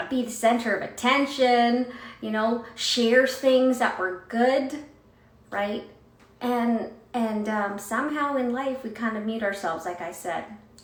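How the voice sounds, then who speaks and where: A woman with a fairly high pitch talks at a moderate pace over noticeable background noise. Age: 40s. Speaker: motivational speaker. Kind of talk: casual talk to camera.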